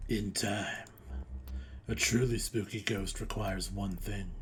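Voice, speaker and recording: Clear background noise sits behind a man doing a put-on character voice at a fairly low pitch and a fairly slow pace. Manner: spooky, ominous.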